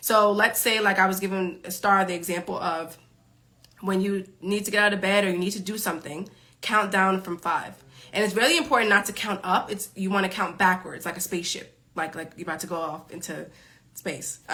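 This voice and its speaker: In a New York accent, a woman talks at a fairly quick pace with a medium pitch. Her tone is bright, sharp and animated. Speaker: time management coach. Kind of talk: live stream Q&A. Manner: fast.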